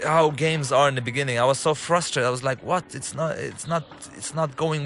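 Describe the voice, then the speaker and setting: Over noticeable background noise, a man with an Arabic accent speaks at a fairly quick pace with ordinary pitch variation. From Lebanon. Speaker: game director and filmmaker. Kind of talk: game commentary walkthrough. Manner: halting, with fillers.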